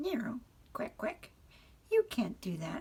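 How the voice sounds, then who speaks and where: In a put-on character voice, a woman talks at a fairly slow pace with a high pitch. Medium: read story. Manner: quacking, stammering.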